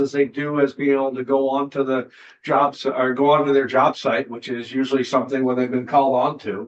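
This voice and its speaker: A man with an unremarkable speaking voice, fairly high-pitched, at a fairly quick pace. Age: 60s. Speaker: state senator. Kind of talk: committee hearing discussion.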